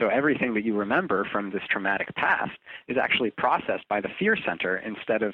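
A man talks at a fairly quick pace with a fairly low pitch. It is a normal speaking voice. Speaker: drug research nonprofit spokesperson. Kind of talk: interview conversation.

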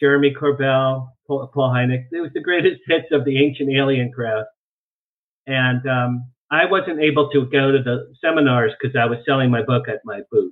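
This man has a plain, everyday voice, fairly high in pitch, moving at a moderate pace with fairly even intonation. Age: 60s. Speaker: UFO researcher and publicist. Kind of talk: interview. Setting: video call.

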